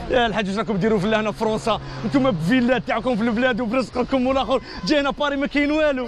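Very fast speech, dry with no echo, over crowd noise in the background. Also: man. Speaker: street prankster vlogger. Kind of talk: casual street banter. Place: street. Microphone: phone near.

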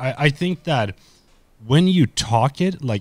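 A man speaks with very wide pitch swings. The sound is dry, with no echo. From Sweden. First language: Swedish. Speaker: YouTuber and content creator; YouTuber, content creator. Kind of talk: casual chat. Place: home room.

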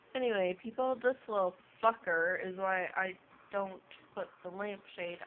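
Mumbling at a moderate pace, a woman speaks with ordinary pitch variation over light background noise. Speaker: cat owner. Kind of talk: casual talk to a pet on camera. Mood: teasing, mock annoyed. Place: home room. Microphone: phone near.

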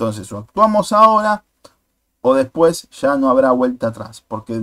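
A man with an ordinary speaking voice, lively intonation and moderate pace, dry and close with no echo. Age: 40s. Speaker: YouTuber, political commentator. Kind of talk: video commentary monologue.

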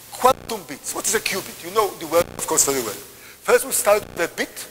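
Over light background noise, a man speaks at a high pitch. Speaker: visiting lecturer. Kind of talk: lecture. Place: hall.

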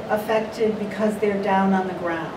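The voice is delivered in a monotone with flat intonation against noticeable background noise. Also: woman. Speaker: artist. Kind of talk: panel discussion. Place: meeting room.

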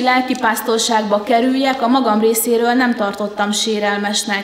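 A woman speaks at a moderate pace with fairly even intonation. Room echo is audible. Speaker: conference presenter. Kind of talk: lecture. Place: hall. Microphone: podium.

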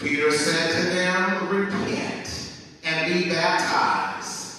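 A male voice in strong room echo. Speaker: minister reading scripture. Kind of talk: scripture reading in a service. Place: church.

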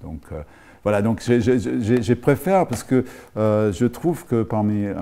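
At a fairly slow pace, a man talks in a dark, mellow tone. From Rhodesia (Zimbabwe). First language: English (speaking French). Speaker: film school professor. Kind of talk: TV interview. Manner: halting, many hesitations. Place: studio.

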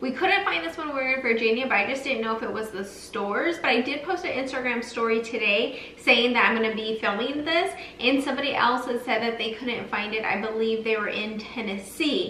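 Speech comes at a fairly quick pace with hardly any pauses. There is audible room echo and light background noise. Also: woman, high pitch for a woman. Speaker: lifestyle vlogger. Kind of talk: casual vlog chat. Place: kitchen. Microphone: camera far.

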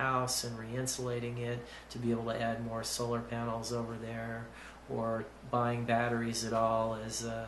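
A man speaks at a fairly slow pace with audible room echo and light background noise. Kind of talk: explanatory vlog talk. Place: office. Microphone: phone near.

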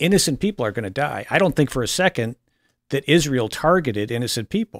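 Lively intonation at a fairly quick pace, with a quiet background and dry sound with no echo. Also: man. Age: 50s. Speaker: political columnist. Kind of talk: casual panel talk show. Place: studio. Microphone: studio mic.

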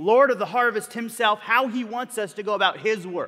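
Against a quiet background, a man raises and projects his bright, sharp voice. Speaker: pastor. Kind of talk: sermon. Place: church. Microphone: headset.

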